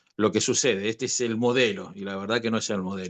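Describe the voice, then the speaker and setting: This man talks very fast. Behind him, the background stays quiet. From Chile. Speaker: apostle, academy director. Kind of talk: teaching discussion. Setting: video call.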